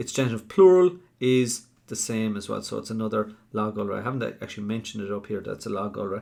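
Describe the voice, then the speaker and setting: A very fast-talking man with an Irish accent, fairly low pitch, a dark, mellow tone and ordinary pitch variation. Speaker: Irish language teacher. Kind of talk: live online tutorial. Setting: live stream.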